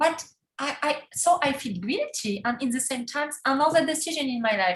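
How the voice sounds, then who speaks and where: Her pitch high and her intonation lively, a woman talks at a moderate pace. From Poland. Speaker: life coach and abuse survivor. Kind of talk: interview testimony. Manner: halting, non-native phrasing.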